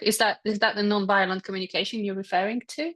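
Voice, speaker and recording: A woman speaks with a Polish accent at a fairly high pitch. The background is quiet. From Poland. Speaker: energy healer. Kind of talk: casual chat. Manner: halting.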